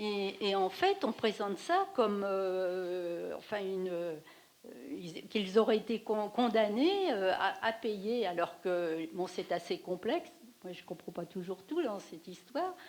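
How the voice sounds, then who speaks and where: At a very slow pace, a woman with medium pitch and ordinary pitch variation speaks with big swings in loudness. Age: 60s. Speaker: audience member. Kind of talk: post-screening discussion. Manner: halting.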